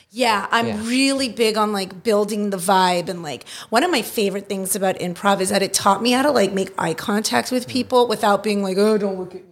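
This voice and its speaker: Fairly quick, hardly pausing speech from a woman at medium pitch with an American accent, ordinary pitch variation, and noticeable background noise. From US West Coast, Los Angeles San Fernando Valley. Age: 30s. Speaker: improviser and court reporter. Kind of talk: casual chat. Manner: animated.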